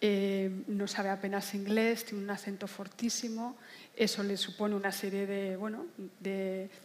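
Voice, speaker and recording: A woman speaks at a fairly slow pace. Her intonation is flat and monotone. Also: medium pitch for a woman. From Basque Country, Spain. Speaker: novelist. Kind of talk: literary panel discussion.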